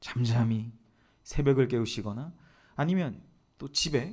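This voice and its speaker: With a dark, mellow tone and lively intonation, a man talks at medium pitch. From Gyeongsang region, Korea. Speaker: pastor. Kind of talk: sermon.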